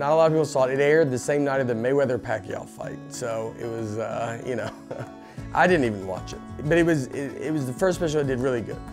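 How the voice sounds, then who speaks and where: Speaking at a very fast pace, a man has an American accent and medium pitch with ordinary variation. Music plays in the background. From Nashville, Tennessee. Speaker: stand-up comedian. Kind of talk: interview answer.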